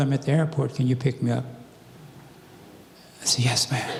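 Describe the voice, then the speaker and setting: With noticeable background noise and audible room echo, a man is speaking. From US South. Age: 80s+. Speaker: civil rights activist and former police officer. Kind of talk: church talk, personal testimony. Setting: church.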